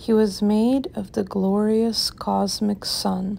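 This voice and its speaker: In a very clean recording with a silent background, a woman speaks at a very slow pace. Her tone is calm and gentle. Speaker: channel host reading a poem. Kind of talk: poem reading aloud, ASMR-style. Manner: slow, soft-spoken, gentle; measured, calm, with rhythmic pacing.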